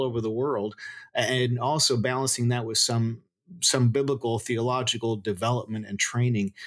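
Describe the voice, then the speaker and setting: With a Spanish accent, a man talks at a moderate pace and a medium pitch. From Florida, US, Cuban immigrant family. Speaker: seminary professor. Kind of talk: interview.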